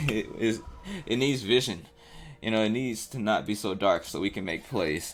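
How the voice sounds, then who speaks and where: There is noticeable background noise in this clip. Over it, a man talks at a moderate pace. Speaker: gaming commentator. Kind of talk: gameplay commentary. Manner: halting.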